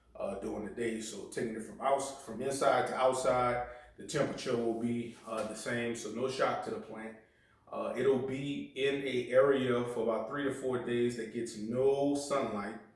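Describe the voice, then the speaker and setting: A man's medium-pitched voice at a fairly slow pace, fairly even in intonation, with big swings in loudness, audible room echo and noticeable background noise. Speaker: bonsai hobbyist YouTuber. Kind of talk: tutorial. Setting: at home. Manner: casual with many fillers.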